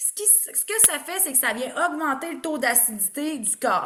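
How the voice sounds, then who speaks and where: In a Quebec accent, a woman projects a raised, high-pitched voice with an animated tone. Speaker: naturopath. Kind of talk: online presentation.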